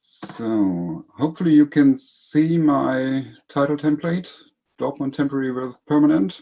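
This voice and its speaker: Speaking with a German accent, a man uses a fairly high pitch and ordinary pitch variation. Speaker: city economic development officer. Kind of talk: conference presentation. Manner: reading from notes.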